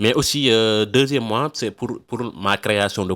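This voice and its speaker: A man's non-native accent, ordinary pitch variation, dry and close sound with no echo, and a very clean recording over a silent background. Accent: non-native French speaker. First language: not French (speaking French). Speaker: email marketing freelancer, YouTuber. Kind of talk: channel introduction to camera. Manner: halting, many hesitations and repetitions.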